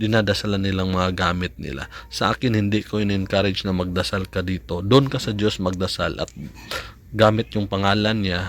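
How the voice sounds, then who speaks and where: Fairly even intonation and a fairly quick pace in a plain, everyday voice. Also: man, fairly low pitch for a man. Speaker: amulet maker and vlogger. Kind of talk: tutorial. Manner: casual.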